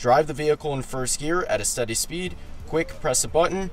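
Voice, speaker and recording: With faint music in the background, a man keeps a moderate pace as he talks. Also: dry sound with no echo. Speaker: car enthusiast creator. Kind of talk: tutorial. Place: car. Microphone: phone near.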